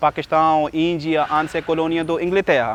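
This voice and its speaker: The speech moves at a fairly slow pace, with a dry, close sound and no echo. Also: man. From Pakistan. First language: Urdu or another Pakistani language (speaking Portuguese). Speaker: English teacher and Portuguese learner. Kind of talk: casual personal account. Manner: halting, many hesitations.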